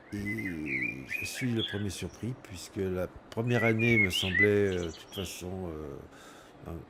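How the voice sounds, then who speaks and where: A man with a fairly low pitch speaks at a very slow pace, his pitch varying in an ordinary way and his loudness swinging widely. Noticeable background noise and audible room echo surround him. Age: 60s. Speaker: retired carpenter. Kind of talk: testimony. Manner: halting.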